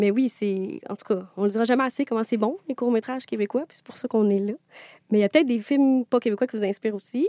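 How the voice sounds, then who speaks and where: In a very clean recording with a silent background and a dry, close sound with no echo, a woman talks very fast at a fairly high pitch, her tone dark and mellow, with ordinary pitch variation and big swings in loudness. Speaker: podcast host. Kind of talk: casual interview. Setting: standing in studio. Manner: animated.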